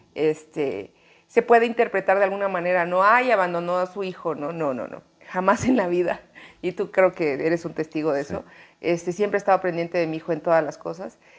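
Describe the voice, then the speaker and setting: A woman's plain, everyday voice, fairly low in pitch, with ordinary pitch variation and a fairly quick pace. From Mexico, Chiapas. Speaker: actress. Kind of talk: interview conversation. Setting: apartment in Mexico City.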